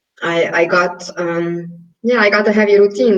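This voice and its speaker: A woman's medium-pitched voice in a Hungarian accent, monotone and flat, at a fairly slow pace. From Hungary. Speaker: yoga and pilates teacher. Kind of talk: interview.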